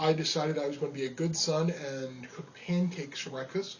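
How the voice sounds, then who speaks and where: With a New York accent, a man speaks at a moderate pace and a high pitch. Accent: New York area. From New York (Rockland County). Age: 30s. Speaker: amateur cook. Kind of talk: audition monologue. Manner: casual, with fillers.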